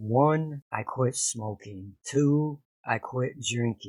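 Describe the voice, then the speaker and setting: On a very clean recording with a silent background and dry, close sound with no echo, a man talks at a very slow pace with ordinary pitch variation. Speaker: vlogger talking about addiction recovery. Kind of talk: personal vlog monologue.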